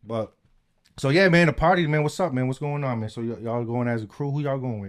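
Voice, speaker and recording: This man's pitch moves in an ordinary way. He speaks very fast. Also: medium pitch for a man. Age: 40s. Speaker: podcast host. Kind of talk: casual chat. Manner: stutters often.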